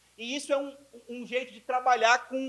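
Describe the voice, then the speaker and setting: A man speaks in an animated tone. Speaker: physicist lecturer. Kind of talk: lecture. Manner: fast.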